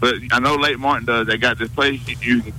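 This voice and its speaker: A man at a medium pitch and fairly quick pace, with monotone, flat intonation, over noticeable background noise. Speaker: caller.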